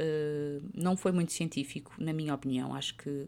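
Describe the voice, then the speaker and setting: A woman speaks at a moderate pace with very deep, low pitch and fairly even intonation. The recording is very clean, with a silent background. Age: 30s. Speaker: podcast host. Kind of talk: informal health talk.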